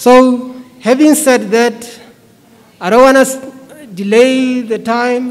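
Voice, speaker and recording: The man's pitch is extremely high. He speaks at a very slow pace with long, frequent pauses. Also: fairly even intonation. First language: a Bantu language, not English. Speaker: preacher. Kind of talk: sermon. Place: church. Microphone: podium.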